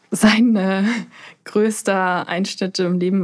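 A woman speaks at a medium pitch with a plain, everyday voice. The recording is very clean, with a silent background. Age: 20s. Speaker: pharmacist and bereaved relative. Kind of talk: interview.

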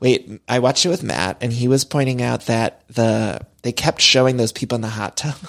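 This man has a plain, everyday voice with an American accent. He speaks with hardly any pauses and ordinary pitch variation. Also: medium pitch for a man, moderate pace, dry, close sound with no echo. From US Midwest. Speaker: podcast host. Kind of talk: casual chat.

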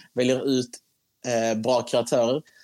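The recording of this man's voice has a dry, close sound with no echo. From Skåne, Sweden. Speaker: TikTok creator. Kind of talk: casual interview chat.

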